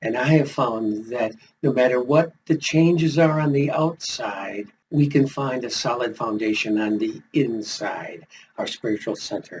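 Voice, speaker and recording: A man's somewhat breathy voice at a moderate pace. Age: 70s. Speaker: retired pastor and life coach YouTuber. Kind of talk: motivational talk to camera.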